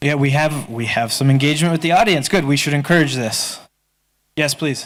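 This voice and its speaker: Speaking fairly quickly, a plain, everyday voice shows ordinary pitch variation. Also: man, fairly high pitch for a man. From United States. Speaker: panel moderator. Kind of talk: moderated Q&A.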